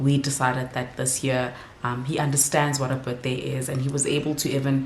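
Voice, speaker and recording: A woman with a very deep, low pitch and fairly even intonation is heard over noticeable background noise and audible room echo. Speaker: vlogger and mother. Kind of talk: casual vlog talk to camera. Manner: whispering.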